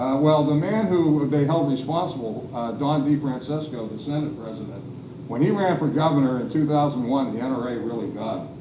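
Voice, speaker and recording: A man with a fairly high pitch and ordinary pitch variation talks at a fairly quick pace, with audible room echo and noticeable background noise. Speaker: panelist, former legislative staffer. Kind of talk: panel discussion. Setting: public event with audience, seated. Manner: hesitant fillers.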